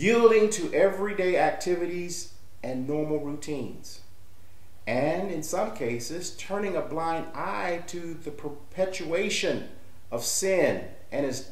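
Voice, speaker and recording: A man speaks at a very slow pace in a high pitch, with ordinary pitch variation. Audible room echo surrounds his voice. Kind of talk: sermon. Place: home room. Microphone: webcam.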